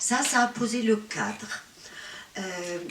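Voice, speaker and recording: A woman speaks at a very slow pace, her fairly high pitch showing ordinary variation. Audible room echo and noticeable background noise are present. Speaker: patient advocacy association president. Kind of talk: conference talk. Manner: hesitant, many fillers.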